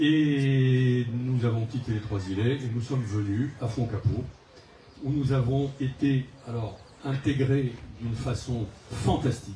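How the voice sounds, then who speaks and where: Delivery comes at a very slow pace with long, frequent pauses. The intonation stays fairly even. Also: man, medium pitch for a man. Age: 70s. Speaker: local election candidate, retired executive. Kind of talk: public self-introduction speech. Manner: hesitant, many fillers.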